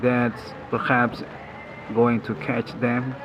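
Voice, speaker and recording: A man with a non-native accent speaks at a medium pitch over noticeable background noise. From Indonesia. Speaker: channel owner reporting personal experiences. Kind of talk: personal monologue report. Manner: halting.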